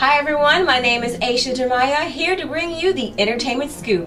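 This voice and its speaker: A woman speaks in a high-pitched voice. Music plays in the background, and room echo is audible. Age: 20s. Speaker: aspiring entertainment reporter. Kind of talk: entertainment news commentary. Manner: animated.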